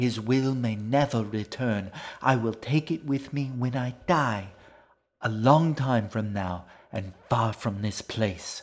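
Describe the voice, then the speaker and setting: Using a put-on character voice at a medium pitch, a man speaks at a fairly slow pace on a very clean recording with a silent background. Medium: read story. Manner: formal, haughty, unhurried.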